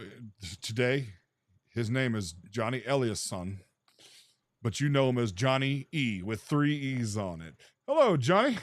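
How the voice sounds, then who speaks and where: Speaking at a fairly slow pace with long, frequent pauses, a man with a medium pitch keeps his intonation lively. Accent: American. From US South, Memphis, Tennessee. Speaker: podcast host. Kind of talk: casual interview chat.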